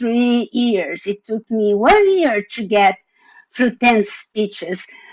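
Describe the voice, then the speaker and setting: The speaker has a non-native accent and ordinary pitch variation. The pace is very slow. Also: woman. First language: not English. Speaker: panelist, former division director. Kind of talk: panel presentation.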